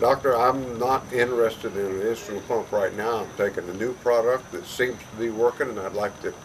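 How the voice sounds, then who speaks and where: Medium-pitched male speech at a moderate pace, with noticeable background noise. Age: 70s. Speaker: customer giving a product testimonial. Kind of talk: testimony. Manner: halting, with frequent fillers.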